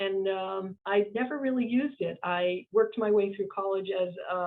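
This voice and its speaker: A woman with an American accent speaks at a moderate pace. Her voice is medium in pitch with fairly even intonation. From Boston, Massachusetts. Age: 60s. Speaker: business owner and CEO. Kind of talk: interview conversation. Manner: halting, many fillers.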